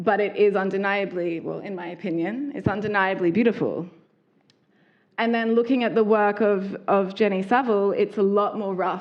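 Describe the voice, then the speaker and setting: A woman with an Australian accent talks at a moderate pace, her medium pitch carried on fairly even intonation. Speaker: fashion designer. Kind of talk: public talk.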